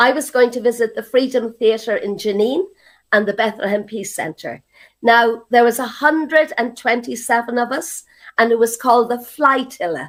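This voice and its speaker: In an Irish accent, a woman with a high pitch speaks with ordinary pitch variation. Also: moderate pace. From Ireland. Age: 70s. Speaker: activist. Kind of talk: interview testimony.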